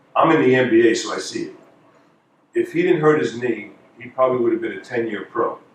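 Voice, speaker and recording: A man talks in a New York accent. His pace is moderate. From New York (Queens). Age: 50s. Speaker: former college basketball player and basketball analyst. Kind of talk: speech.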